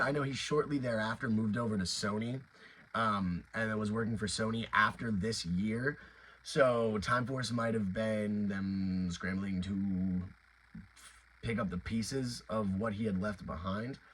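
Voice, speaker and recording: This man has an ordinary speaking voice, pitched in the medium range, moving at a moderate pace with ordinary pitch variation. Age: 20s. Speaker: YouTuber reviewing toys and franchise news. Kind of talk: casual video commentary. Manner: filler-heavy, many restarts.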